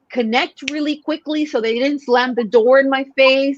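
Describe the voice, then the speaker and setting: In a Spanish accent, a woman speaks with a high pitch and ordinary pitch variation. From Mexico. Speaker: sales coach. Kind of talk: podcast interview.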